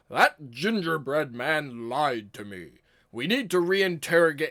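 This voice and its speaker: A put-on, raspy character voice at a fairly slow pace. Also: man, fairly high pitch for a man. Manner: loud, accusatory.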